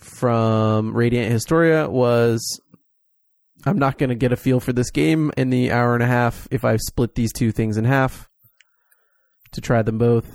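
A man's normal speaking voice at medium pitch, fairly slow in pace, with ordinary pitch variation and very even loudness. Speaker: podcast host. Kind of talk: casual chat.

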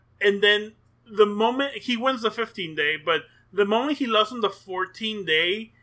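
A man's raised, projected voice, high for a man, with a bright, sharp tone and ordinary pitch variation. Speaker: sumo podcast co-host. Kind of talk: casual chat. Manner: hesitant, many fillers.

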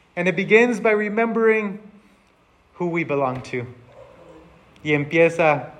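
A man with an American accent talks with lively intonation. Audible room echo fills the recording. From Texas border region. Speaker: pastor. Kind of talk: bilingual sermon.

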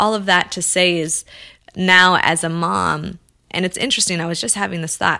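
Using a plain, everyday voice, a woman with an American accent speaks at a fairly quick pace and a fairly low pitch, with fairly even intonation. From Los Angeles, US. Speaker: filmmaker and activist. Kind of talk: interview.

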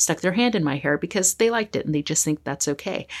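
In a very clean recording with a silent background, a woman with an American accent speaks with lively intonation. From California, US. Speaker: psychologist and equity consultant. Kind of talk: interview.

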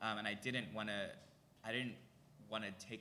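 A man with an American accent and ordinary pitch variation, amid audible room echo and noticeable background noise. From Philadelphia area, US. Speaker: drag performer and musician. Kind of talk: live podcast interview. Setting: stage with audience.

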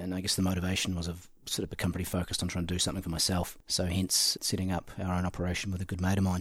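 A man with a very deep, low pitch talks at a very fast pace with hardly any pauses. His voice is somewhat breathy and his intonation monotone and flat. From New Zealand, Central Otago. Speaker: hunting outfitter and entrepreneur. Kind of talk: casual interview. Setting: at the guest's house.

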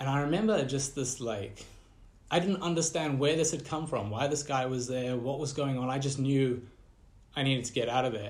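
A man's somewhat breathy voice at a medium pitch, with ordinary pitch variation and a moderate pace. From Southern and Central Africa (Malawi, Zimbabwe). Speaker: designer and startup founder. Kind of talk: casual interview.

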